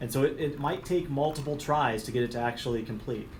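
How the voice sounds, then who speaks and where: Audible room echo surrounds a man speaking very fast at a medium pitch with ordinary pitch variation. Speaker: technical trainer. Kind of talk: technical training presentation.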